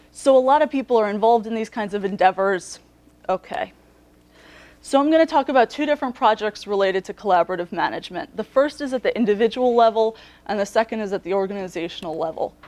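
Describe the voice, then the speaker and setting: A woman talks at a very fast pace with a fairly high pitch and lively intonation, in a dry, close sound with no echo. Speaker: postdoctoral researcher giving invited talk. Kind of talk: lecture.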